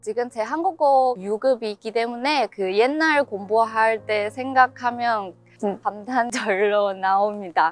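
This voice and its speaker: A woman speaks at a very slow pace with a Chinese accent. Her pitch varies in an ordinary way. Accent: Chinese accent in Korean. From China, Chongqing. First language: Chinese (speaking Korean). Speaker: international university student. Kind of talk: interview.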